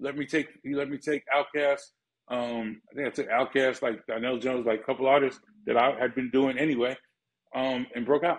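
With a New York accent, a man speaks at medium pitch and a fairly quick pace. His intonation is monotone and flat against a quiet background. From Bronx, New York. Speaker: music manager; interview guest. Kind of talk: casual interview. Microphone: phone near.

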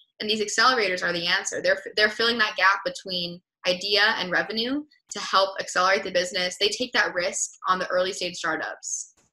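Speaking with an American accent, a woman keeps a medium pitch and fairly even intonation at a fairly quick pace. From US West Coast, Los Angeles. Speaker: entrepreneur; guest. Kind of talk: interview. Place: home room. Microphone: webcam.

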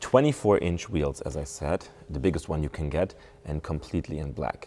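A man speaks at a moderate pace with vocal fry and a dark, mellow tone, his pitch very deep and low. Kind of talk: walkaround commentary. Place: shop.

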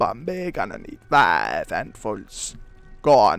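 Faint music plays in the background as a man performs a put-on character voice at a medium pitch and a fairly slow pace. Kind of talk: speaks of himself in third person, broken grammar.

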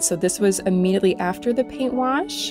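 Music can be heard in the background. Over it, a woman talks at a moderate pace. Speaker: furniture restorer. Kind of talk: casual voice-over narration of a furniture restoration.

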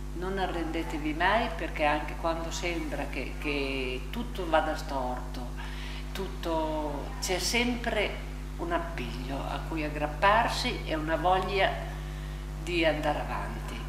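A woman talks very slowly while noticeable background noise carries on around her. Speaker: elderly rehabilitation patient. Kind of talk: interview. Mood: earnest, encouraging advice. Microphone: lapel.

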